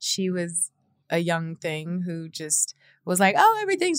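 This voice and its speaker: Animated in tone, a woman talks at a moderate pace and a medium pitch with lively intonation. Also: very clean recording, silent background. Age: 30s. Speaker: podcast host. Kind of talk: solo podcast monologue.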